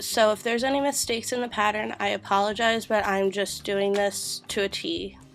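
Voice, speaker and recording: With music in the background, a woman of medium pitch speaks at a fairly quick pace with fairly even intonation and hardly any pauses. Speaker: crochet tutorial host. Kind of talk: craft tutorial narration.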